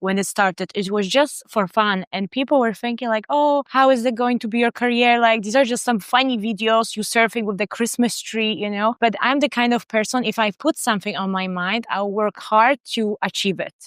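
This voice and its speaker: With a Polish accent, a woman of fairly high pitch talks at a moderate pace with hardly any pauses and ordinary pitch variation, the sound dry and close with no echo. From Poland, small town. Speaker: surfing content creator. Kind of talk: podcast interview.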